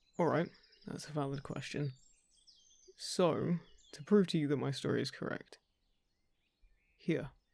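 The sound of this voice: A man puts on a character voice, fairly high in pitch, with vocal fry, a slightly husky edge and a slightly mellow tone. He moves at a fairly slow pace with ordinary pitch variation and long, frequent pauses.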